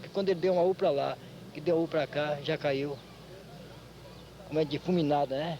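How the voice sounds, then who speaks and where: Delivery is fairly quick, with fairly even intonation. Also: man. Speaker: capoeira master. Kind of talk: interview testimony.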